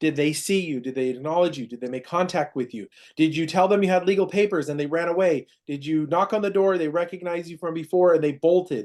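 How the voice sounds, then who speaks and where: A man speaks very fast with a high pitch. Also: ordinary pitch variation, quiet background. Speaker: process serving company manager training staff. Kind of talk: staff training meeting.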